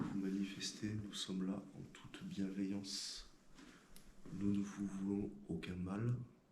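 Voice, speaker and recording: Audible room echo colors the recording. The pace is very slow. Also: man. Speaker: paranormal investigator. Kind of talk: casual explanation to camera; voice-over narration. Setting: inside a castle at night.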